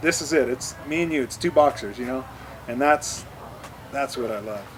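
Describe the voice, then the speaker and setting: A man speaks at a fairly high pitch. Noticeable background noise is present. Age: 30s. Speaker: pro mountain bike racer. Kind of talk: interview. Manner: halting, many repeated words.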